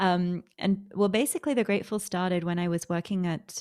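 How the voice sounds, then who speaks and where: In a very clean recording with a silent background, a woman with an Australian accent speaks at a fairly low pitch with fairly even intonation. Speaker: author and sustainable food founder. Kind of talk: interview.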